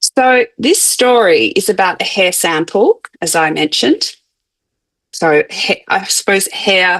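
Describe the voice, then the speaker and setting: A woman with an Australian accent at a very slow pace and medium pitch, with very wide pitch swings. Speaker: anthropologist of science. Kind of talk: academic lecture. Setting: conference talk. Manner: hesitant with fillers and restarts.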